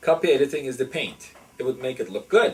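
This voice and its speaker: At a moderate pace, a man with a non-native accent talks with lively intonation. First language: not English. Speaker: professor. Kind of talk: interview. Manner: halting.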